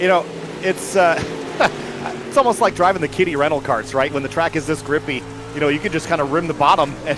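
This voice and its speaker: Music plays in the background as a man talks. He goes at a very fast pace with ordinary pitch variation. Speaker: sim racing commentator. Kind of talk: live commentary.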